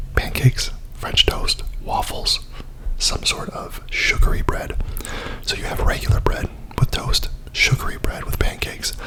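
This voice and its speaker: Noticeable background noise surrounds a whispered voice. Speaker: ASMR content creator. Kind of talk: ASMR mukbang, casual talk to camera. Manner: casual, chatty, with filler words.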